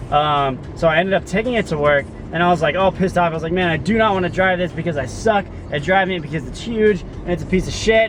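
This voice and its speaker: Shouting loudly at a very fast pace, a man with a high voice uses ordinary pitch variation against noticeable background noise. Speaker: vlogger, delivery driver. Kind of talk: casual video diary. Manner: loud, yelling.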